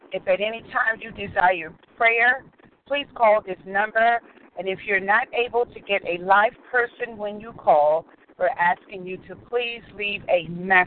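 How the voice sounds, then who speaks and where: Noticeable noise sits in the background. The speech moves at a fairly slow pace. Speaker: call host announcer. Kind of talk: announcements. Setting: conference call.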